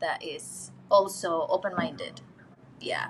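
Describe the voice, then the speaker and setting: Somewhat breathy, a woman speaks with an Indonesian accent. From Indonesia, Jakarta. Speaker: interview guest. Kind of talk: casual interview chat.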